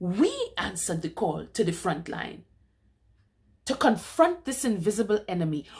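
In a dramatic, solemn tone, a woman speaks at a moderate pace with lively intonation, somewhat breathy and with long, frequent pauses, over a quiet background. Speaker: poetry reader. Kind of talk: spoken word poetry reading of a protest poem. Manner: measured, declamatory cadence with dramatic emphasis; solemn and accusatory, building rhetorical intensity. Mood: indignant, impassioned. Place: home room. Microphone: webcam.

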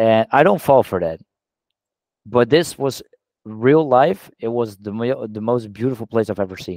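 A man's fairly slow speech with ordinary pitch variation, recorded dry with no echo against a quiet background. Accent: Dutch. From Netherlands. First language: Dutch. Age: 20s. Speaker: social media influencer. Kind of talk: casual interview. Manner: halting, with repeated words. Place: home room. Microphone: headset.

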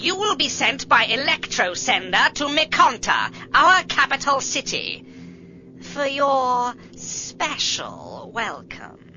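A put-on character voice, female-sounding, sits at a high pitch. It moves at a fairly slow pace. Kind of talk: radio drama dialogue. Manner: cold, emotionless.

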